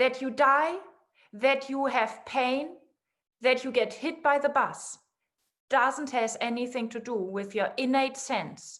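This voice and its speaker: A woman with a non-native accent speaks very slowly at a high pitch, with ordinary pitch variation. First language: not English. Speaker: guest in a conversation series. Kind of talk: casual philosophical conversation.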